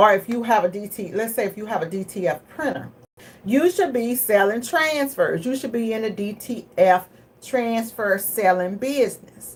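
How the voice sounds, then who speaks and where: With a Southern US accent, a woman talks in an animated tone at a fairly high pitch with lively intonation. Noticeable background noise is present. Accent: Southern country drawl. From Texas. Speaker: business coach and screen printer. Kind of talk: casual livestream talk. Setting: live video. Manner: fast.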